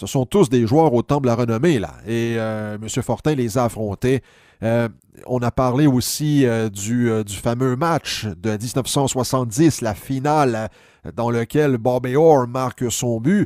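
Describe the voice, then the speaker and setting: A dark, mellow voice speaks at a very slow pace. The sound is dry and close with no echo, on a very clean recording with a silent background. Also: man, medium pitch for a man, ordinary pitch variation. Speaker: sports history commentator. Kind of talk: casual spoken recap of an interview. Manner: hesitant, many filler sounds.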